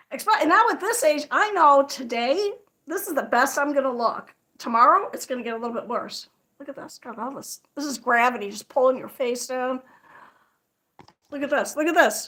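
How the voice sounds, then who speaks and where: Speaking in a raised, projected voice with an American accent, a woman uses a high pitch, a bright, sharp tone, lively intonation and big swings in loudness. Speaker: crochet livestreamer. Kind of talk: casual livestream chat. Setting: livestream. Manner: fast.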